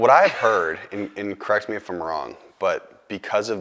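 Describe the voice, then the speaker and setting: An ordinary speaking voice: a man with an American accent, fairly low in pitch, at a fairly quick pace. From Boston. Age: 20s. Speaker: filmmaker and actor. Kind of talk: casual interview chat.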